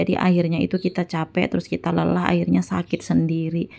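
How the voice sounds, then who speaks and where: A woman with a very deep, low pitch and vocal fry, dark and mellow in tone, at a fairly quick pace. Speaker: housewife cooking vlogger. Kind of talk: casual vlog voiceover. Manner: chatty.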